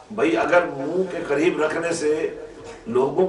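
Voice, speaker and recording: A man talks with ordinary pitch variation. Light background noise and audible room echo surround him. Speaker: religious preacher. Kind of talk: sermon. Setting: religious gathering with audience. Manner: loud, forceful delivery. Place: church.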